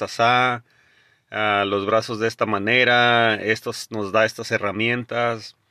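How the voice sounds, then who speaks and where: A man speaks with a bright, sharp tone against a quiet background. The sound is dry and close, with no echo. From Jalisco, Mexico. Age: 40s. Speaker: podcast host, motivational speaker. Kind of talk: motivational monologue.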